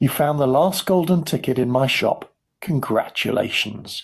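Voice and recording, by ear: Putting on a character voice, a man speaks at medium pitch and a fairly slow pace, with lively intonation, vocal fry and a slightly husky edge.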